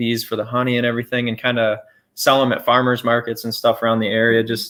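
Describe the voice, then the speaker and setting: A man talks at a very fast pace in a medium pitch. His intonation stays monotone and flat. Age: 20s. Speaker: homesteader. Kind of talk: casual chat. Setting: livestream.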